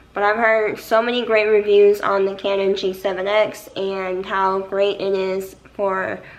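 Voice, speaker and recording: Fairly slow speech from a woman, the room's echo clearly audible. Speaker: nurse and vlogger. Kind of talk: casual unboxing vlog.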